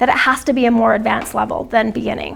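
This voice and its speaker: Noticeable background noise sits under the clip. A woman with a high voice talks at a very fast pace. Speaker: dance program coordinator. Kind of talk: training discussion. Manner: soft-spoken. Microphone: too quiet, hard to hear.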